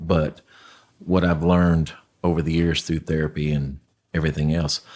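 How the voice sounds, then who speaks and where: A man's very deep, low voice moves with fairly even intonation. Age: 60s. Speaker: homelessness nonprofit founder. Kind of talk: interview testimony. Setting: podcast. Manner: halting, with many fillers.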